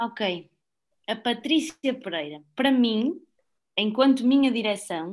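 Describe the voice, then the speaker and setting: A woman speaks at a very slow pace. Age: 20s. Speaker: former volunteer group board member. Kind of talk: casual podcast chat.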